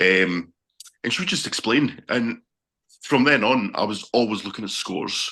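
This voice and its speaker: Over a quiet background, a man speaks in a bright, sharp tone with a Scottish accent. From Scotland. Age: 40s. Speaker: sports fan, bus driver. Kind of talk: casual interview.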